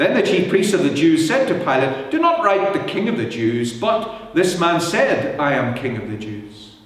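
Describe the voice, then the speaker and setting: Over noticeable background noise, a man speaks at a high pitch with very wide pitch swings and hardly any pauses. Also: moderate pace. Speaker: church minister reading scripture. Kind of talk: scripture reading, Good Friday Passion narrative.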